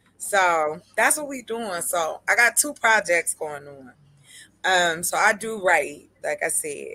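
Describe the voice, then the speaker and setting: Bright and sharp in tone, a woman speaks very slowly in a very clean recording with a silent background. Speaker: livestreamer and writer. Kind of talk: casual chat. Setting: livestream. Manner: animated.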